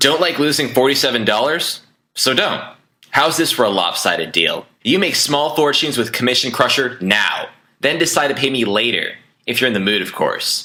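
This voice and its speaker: A man talks in a normal speaking voice at a medium pitch, with lively intonation. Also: moderate pace, very even loudness. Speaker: online marketer. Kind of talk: sales pitch.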